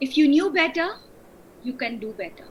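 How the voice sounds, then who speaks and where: Speaking with an Indian accent, a woman uses a high pitch and very wide pitch swings over noticeable background noise. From India, rural Bihar. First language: Hindi. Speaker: wedding coach. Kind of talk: interview.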